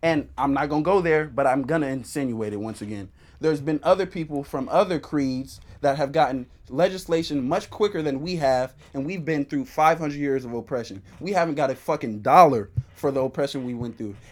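Captured in a very clean recording with a silent background, a man with an unremarkable speaking voice talks at a fairly quick pace, his fairly high pitch varying in an ordinary way. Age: 19. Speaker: podcast guest. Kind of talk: casual chat.

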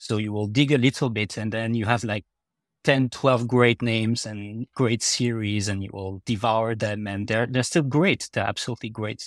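A man with a French accent, fairly even intonation, and a dry, close sound with no echo. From France. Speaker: fantasy author. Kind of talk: casual interview chat. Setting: video call.

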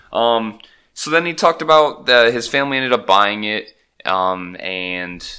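In a very clean recording with a silent background, a man speaks at medium pitch and a moderate pace with a bright, sharp tone. His intonation is lively, and his loudness swings widely. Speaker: podcast co-host. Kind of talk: casual chat. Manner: joking, profane.

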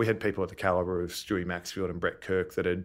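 Against a silent background in a very clean recording, a man speaks with an Australian accent. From Melbourne, Australia. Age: 30s. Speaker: retired Australian rules footballer. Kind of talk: interview. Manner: hesitant, many fillers.

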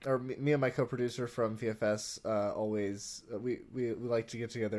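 A man with a normal speaking voice talks at a moderate pace and medium pitch, recorded very cleanly against a silent background. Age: 20s. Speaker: podcast co-host and filmmaker. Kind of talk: casual chat.

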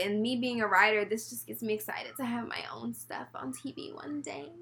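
Noticeable background noise sits under a woman's voice, which has lively intonation. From Texas, Houston. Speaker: podcast co-host. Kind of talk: casual chat.

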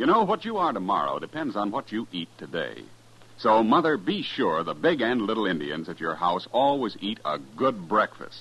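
With a fairly low pitch, big pitch swings and a fairly bright tone, a man talks at a moderate pace.

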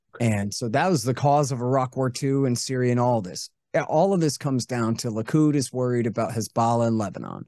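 A man's medium-pitched voice with a dark, mellow tone, an American accent, ordinary pitch variation, moderate pace, and a quiet background. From United States. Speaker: antiwar author and radio host. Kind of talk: casual interview.

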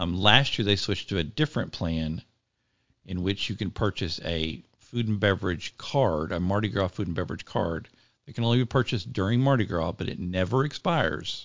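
An unremarkable speaking voice from a man, fairly low in pitch, fairly quick, with lively intonation. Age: 50s. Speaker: food and theme park blogger. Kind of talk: casual chat.

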